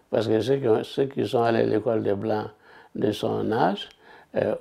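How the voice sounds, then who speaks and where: A man talks at a fairly slow pace. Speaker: retired activist, interviewee. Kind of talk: documentary interview.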